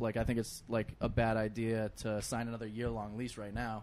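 In an American accent, a man with a medium pitch speaks at a moderate pace. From Boston. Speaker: comedian. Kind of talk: casual chat.

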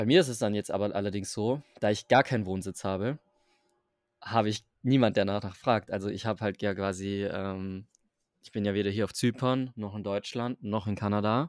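In a dry, close sound with no echo, a man with a fairly low pitch speaks at a moderate pace with fairly even intonation. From southern Germany, Stuttgart area. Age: 20s. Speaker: digital nomad. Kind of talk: casual interview. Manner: halting.

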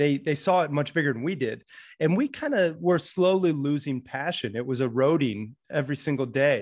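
It's a normal speaking voice at a moderate pace with ordinary pitch variation. The background is quiet. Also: man. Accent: American. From US, Florida and Montana. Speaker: author and podcaster. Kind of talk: interview.

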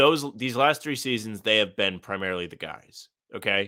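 Heard in a very clean recording with a silent background, a man uses lively intonation and a bright, sharp tone at a moderate pace. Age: 20s. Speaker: sports podcast co-host. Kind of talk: casual chat.

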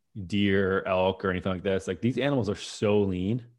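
With an ordinary speaking voice, a man talks at a moderate pace and fairly low pitch, using fairly even intonation against a quiet background. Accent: American. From US Midwest, Minnesota. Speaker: doctor and food company founder. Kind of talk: interview conversation. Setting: remote interview.

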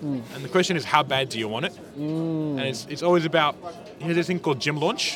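Over noticeable background noise, a man talks at a very fast pace, his fairly high pitch showing ordinary variation. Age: 20s. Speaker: food truck owner. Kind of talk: casual chat. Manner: animated.

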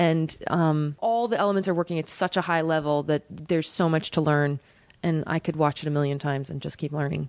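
Speaking with an American accent, a woman has a very deep, low pitch. Her pace is fairly quick and her intonation fairly even. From Oklahoma. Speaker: Broadway actress and singer. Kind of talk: casual chat.

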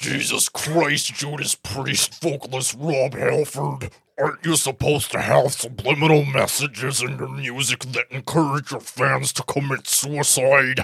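A man uses a put-on character voice that is raspy and strained, at a medium pitch. His intonation is monotone and flat, with hardly any pauses. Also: moderate pace. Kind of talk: comic overacting. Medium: talk show. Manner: indignant, preachy, yelling.

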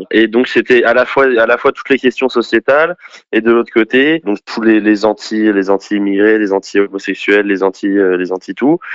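This man has a medium-pitched voice with ordinary pitch variation. He talks at a moderate pace. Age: 20s. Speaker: former far-left activist. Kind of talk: testimony. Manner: halting.

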